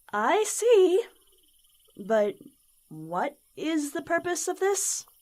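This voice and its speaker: In a put-on character voice, a female-sounding speaker talks very slowly at an extremely high pitch. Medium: audio drama. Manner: curious, earnest.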